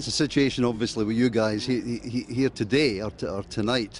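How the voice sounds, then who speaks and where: In a Glasgow accent, a man is talking. His pace is very fast. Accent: Scottish, Glasgow. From Scotland (Glasgow). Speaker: radio interviewer. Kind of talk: interview. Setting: music festival. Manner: halting, repeats words.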